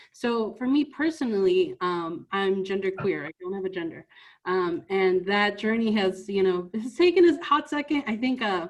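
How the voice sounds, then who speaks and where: A woman with a Spanish accent speaks at a medium pitch and a moderate pace with very wide pitch swings, over a quiet background. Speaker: youth trainer. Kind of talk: training presentation. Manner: conversational with frequent filler words.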